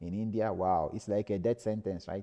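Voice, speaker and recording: A man with a Nigerian accent and a dark, mellow tone, over a quiet background. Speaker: lecturer. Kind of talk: lecture. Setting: live stream.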